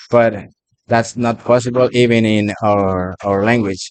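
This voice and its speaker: A man at a medium pitch with a Spanish accent, fairly slow pace and fairly even intonation. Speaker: restaurant worker interviewed by students. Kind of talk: casual interview. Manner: halting.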